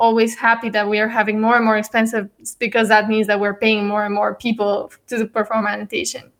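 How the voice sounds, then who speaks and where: A woman with a Bulgarian accent speaks at a fairly quick pace with a fairly high pitch. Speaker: startup CEO. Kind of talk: casual interview.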